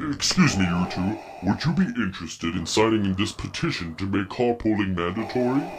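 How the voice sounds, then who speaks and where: Putting on a character voice, a man speaks at a fairly quick pace in a fairly low pitch over clear background noise. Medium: audio drama. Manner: polite, earnest, mild.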